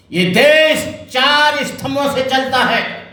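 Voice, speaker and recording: Raising and projecting his extremely high voice, a man speaks with ordinary pitch variation as the room echoes audibly. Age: 70s. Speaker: Buddhist monk. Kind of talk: political speech. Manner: fiery, impassioned.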